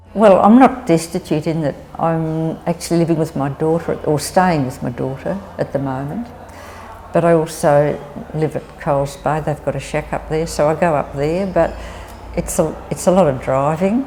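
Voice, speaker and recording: A woman speaks at a moderate pace in a very deep, low pitch. Noticeable background noise runs underneath. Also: ordinary pitch variation. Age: 70s. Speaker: older woman facing housing insecurity. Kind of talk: personal testimony.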